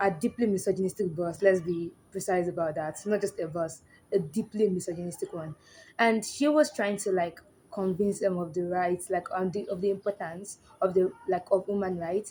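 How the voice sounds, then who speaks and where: A woman's medium-pitched, somewhat breathy voice with a dark, mellow tone and a Nigerian accent, ordinary pitch variation and a moderate pace, in a very clean recording with a silent background. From Nigeria (Yoruba). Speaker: social commentary YouTuber. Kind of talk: casual commentary monologue.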